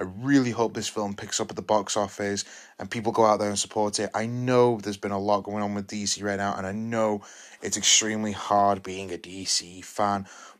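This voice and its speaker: An animated, enthusiastic man speaks with a British accent at a fairly low pitch and fairly quick pace. The recording is very clean, with a silent background. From England. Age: 20s. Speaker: film review podcaster. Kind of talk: solo film review monologue. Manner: repetitive, halting with restarts.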